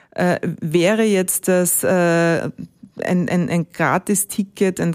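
A woman with fairly low pitch speaks in an ordinary speaking voice with fairly even intonation. The sound is dry and close with no echo, and the recording is very clean with a silent background. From Austria, Ennstal (Styria). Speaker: rail company executive. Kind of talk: interview.

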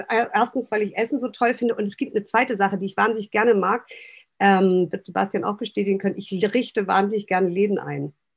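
A woman talks at a very fast pace with vocal fry. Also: medium pitch for a woman, fairly even intonation. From northern Germany, Baltic coast. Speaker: restaurant owner and consultant. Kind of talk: podcast interview.

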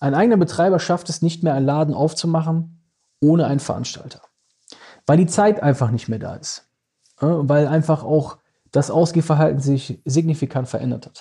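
A man with a dark, mellow tone speaks at a moderate pace with ordinary pitch variation, big swings in loudness, and long, frequent pauses. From Düsseldorf, Germany. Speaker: club manager and event promoter. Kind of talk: casual interview chat. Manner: hesitant with many fillers.

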